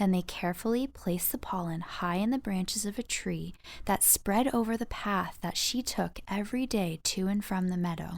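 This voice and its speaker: Here is an ordinary speaking voice at a moderate pace with ordinary pitch variation and hardly any pauses. The recording is very clean, with a silent background. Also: woman, medium pitch for a woman. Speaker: voice over artist and narrator. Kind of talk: children's audiobook narration. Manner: warm storytelling, playful.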